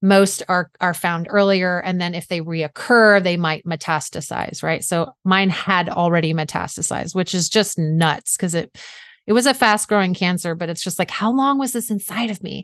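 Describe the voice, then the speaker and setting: With an American accent, a woman uses an ordinary speaking voice, fairly low in pitch with ordinary pitch variation, at a moderate pace with hardly any pauses against a quiet background. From US South (South Georgia). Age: 40s. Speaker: author and mindset coach, cancer survivor. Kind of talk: interview.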